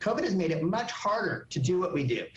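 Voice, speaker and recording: Amid audible room echo and noticeable background noise, a man with a high pitch talks in a lively intonation. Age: 50s. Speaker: organ donation organization director. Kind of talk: live TV interview. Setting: TV morning show.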